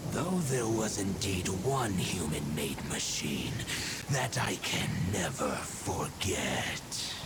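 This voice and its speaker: In a put-on character voice, a man speaks at a very slow pace with a fairly low pitch over loud background noise. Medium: game stream. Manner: formal, archaic, stately.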